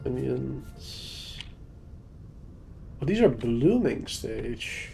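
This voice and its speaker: Over music in the background, a man speaks at a very slow pace with audible room echo. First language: not English. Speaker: gaming streamer. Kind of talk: live gameplay stream chat. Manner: casual, thinking aloud.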